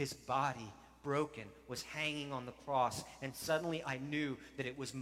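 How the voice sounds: Fairly even intonation in a natural reading voice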